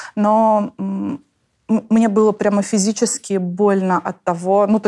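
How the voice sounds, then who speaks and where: A woman speaks with fairly even intonation and a dark, mellow tone. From Tatarstan, Russia. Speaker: author of the book. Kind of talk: casual interview conversation. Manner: thoughtful, with many filler sounds.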